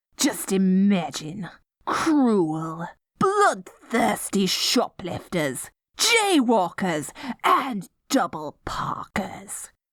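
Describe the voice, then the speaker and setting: A female-sounding, put-on character voice sits at a medium pitch. The pace is very slow. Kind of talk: audio roleplay. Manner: silly, playful.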